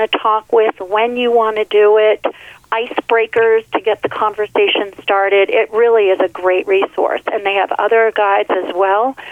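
Noticeable background noise sits behind a woman speaking at a fairly high pitch. Her pace is moderate and her intonation monotone and flat. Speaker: nurse. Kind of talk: radio interview. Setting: studio.

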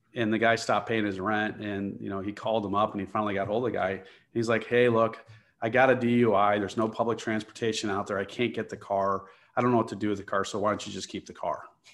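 With a Chicago accent, a man talks at a very fast pace in a flat monotone and a fairly low pitch against a quiet background. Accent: Chicago American English. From US Midwest, Chicago area. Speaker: real estate investor and architect. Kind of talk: interview.

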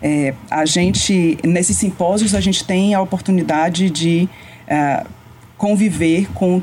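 A woman with a fairly low voice speaks over noticeable background noise. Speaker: radiation oncologist. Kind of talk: interview.

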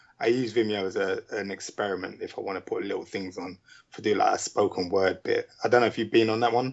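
A man with a London accent talks at a very fast pace. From UK. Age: 40s. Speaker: indie filmmaker and musician. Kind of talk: casual interview.

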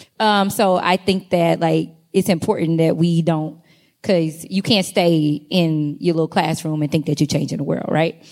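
A woman's a normal speaking voice, fairly low in pitch, at a moderate pace with fairly even intonation and very even loudness, on a very clean recording with a silent background. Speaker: doctoral student researcher. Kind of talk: conference panel discussion. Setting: stage with audience.

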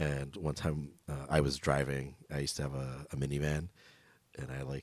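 With an American accent, a man speaks at a very deep, low pitch. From Los Angeles, Echo Park. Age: 30s. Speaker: podcast host. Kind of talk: casual chat.

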